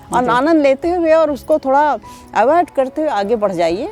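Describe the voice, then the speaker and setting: A woman's high-pitched voice swings very widely in pitch while music plays in the background. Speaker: folk singer. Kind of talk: interview answer.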